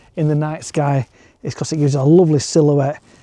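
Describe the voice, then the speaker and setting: A man with a Yorkshire accent, fairly high-pitched with a dark, mellow tone, at a fairly quick pace in dry, close sound with no echo. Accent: northern English (Yorkshire). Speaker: landscape photographer and vlogger. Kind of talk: walk and talk vlog. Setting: outdoors at night.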